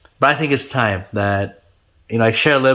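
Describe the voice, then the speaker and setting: A man with a Gujarati accent, medium pitch and fairly even intonation, on a very clean recording with a silent background. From India (Ahmedabad, Gujarat). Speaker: YouTuber, construction builder. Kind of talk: casual interview chat; video intro.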